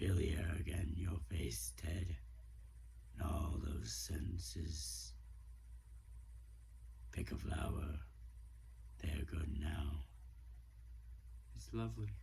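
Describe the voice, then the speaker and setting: Through clear background noise, a man does a put-on character voice at a very slow pace, with long, frequent pauses. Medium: solo performance. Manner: soft, reflective.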